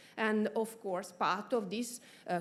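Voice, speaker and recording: A woman with an Italian accent. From Italy, Florence. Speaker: research institute official. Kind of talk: conference speech. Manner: halting, many fillers.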